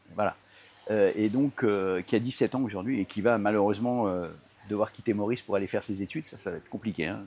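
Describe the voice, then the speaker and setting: Pitch moves in an ordinary way. The pace is very fast. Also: man, fairly low pitch for a man. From Paris suburbs, Seine-Saint-Denis, France. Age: 60s. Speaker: entrepreneur. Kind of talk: interview. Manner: hesitant, many fillers and repetitions.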